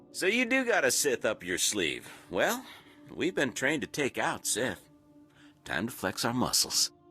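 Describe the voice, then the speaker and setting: A put-on character voice, drawling at a moderate pace with long, frequent pauses over faint background music. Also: man. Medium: video game. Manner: swaggering, drawling, slangy.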